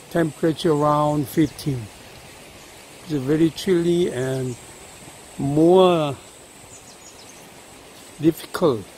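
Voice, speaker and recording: The pace is very slow, with long, frequent pauses. The sound is dry with no echo, over light background noise. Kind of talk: casual vlog commentary. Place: forest. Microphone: phone near.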